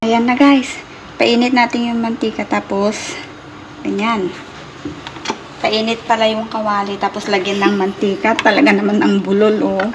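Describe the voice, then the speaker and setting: Pausing long and often, a woman with a fairly high pitch speaks at a moderate pace with ordinary pitch variation over noticeable background noise. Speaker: home cooking vlogger. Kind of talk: cooking tutorial. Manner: stumbling over words; casual, chatty. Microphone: broken mic, voice sounds distant.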